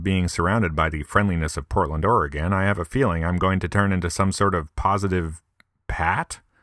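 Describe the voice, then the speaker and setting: In an upstate New York accent, a man speaks with a very deep, low pitch and a bright, sharp tone. The sound is dry and close, with no echo. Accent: upstate pronunciation of milk. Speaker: podcaster. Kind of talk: comedic monologue.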